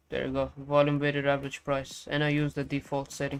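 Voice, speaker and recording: This man speaks at a fairly high pitch. The recording is very clean with a silent background. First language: Farsi and Portuguese. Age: 20s. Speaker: day trading streamer. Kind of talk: live stream chat. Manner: casual.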